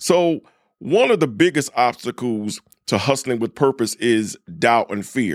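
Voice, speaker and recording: The intonation is lively and the tone animated, delivered at a fairly slow pace. The recording is very clean with a silent background, and the sound is dry and close with no echo. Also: man, medium pitch for a man. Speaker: podcast host and preacher. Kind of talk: devotional talk. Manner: casual.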